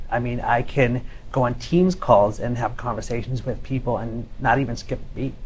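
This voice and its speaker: A man speaks at a medium pitch, somewhat breathy, with audible room echo. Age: 30s. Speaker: cochlear implant patient. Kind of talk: panel discussion.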